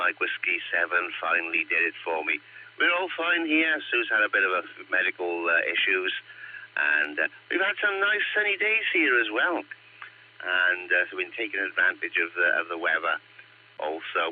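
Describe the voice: A croaky man talks at a moderate pace with big pitch swings.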